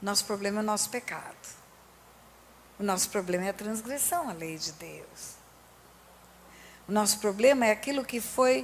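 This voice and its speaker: A woman speaks at a moderate pace in a fairly high pitch, her tone animated. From Brazil. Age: 60s. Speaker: pastor. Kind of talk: sermon.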